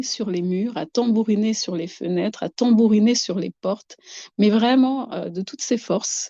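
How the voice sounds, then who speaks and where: Her pitch is fairly high for a woman. She speaks with lively intonation. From Madagascar. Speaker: guest describing harassment experiences. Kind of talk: testimony. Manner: halting, many repetitions.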